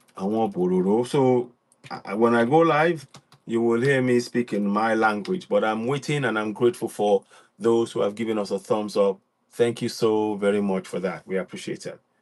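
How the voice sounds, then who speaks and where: A moderate pace and lively intonation in a Yoruba accent, over a quiet background. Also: man, medium pitch for a man. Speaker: online radio host. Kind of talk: livestream broadcast. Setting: live online stream.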